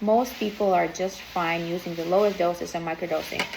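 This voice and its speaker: Her voice sits at a medium pitch with ordinary pitch variation, and there is noticeable background noise behind this woman. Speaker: biohacking enthusiast. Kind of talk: casual talk to camera.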